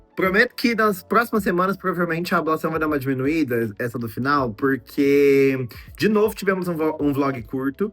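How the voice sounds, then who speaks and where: A man speaks with lively intonation and fairly high pitch. His pace is moderate, with hardly any pauses. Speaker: vlogger and doctoral student. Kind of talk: casual vlog talk to camera. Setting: indoor filming setup with lighting. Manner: chatty, talkative.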